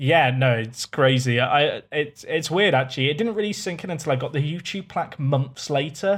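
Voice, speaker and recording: Speaking at a moderate pace with hardly any pauses, a man with a fairly high pitch sounds somewhat breathy. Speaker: streamer and YouTuber. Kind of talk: casual chat. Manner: monotone.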